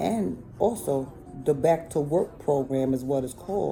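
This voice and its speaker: With music in the background, a woman talks at a fairly slow pace in an animated tone with lively intonation. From New York City (Bronx and Harlem). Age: 40s. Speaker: vlogger. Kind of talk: casual monologue.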